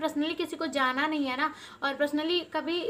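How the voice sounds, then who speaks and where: A woman speaks in a raised, projected voice. Her pitch is high. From eastern Uttar Pradesh (Deoria, Purvanchal); eastern Uttar Pradesh. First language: Bhojpuri (speaking Hindi). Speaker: village lifestyle vlogger. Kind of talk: casual vlog talk to camera. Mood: upset, emotional, heartfelt. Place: home room. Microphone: phone near.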